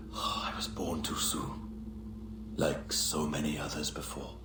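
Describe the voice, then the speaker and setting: Amid loud background noise, a man puts on a character voice and speaks at a fairly slow pace. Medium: short film. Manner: cryptic, dreamy.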